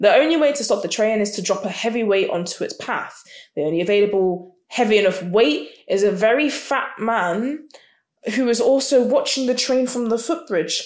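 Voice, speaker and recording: A woman with an ordinary speaking voice talks at a moderate pace. Her fairly high pitch carries lively intonation. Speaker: podcast co-host. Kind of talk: casual chat.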